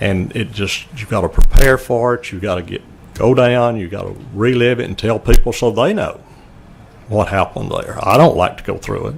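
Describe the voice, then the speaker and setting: A man speaks at a moderate pace with a fairly low pitch and a Louisiana accent. Noticeable background noise can be heard. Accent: Louisiana Southern US. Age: 70s. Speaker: murder victim's family member. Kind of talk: testimony.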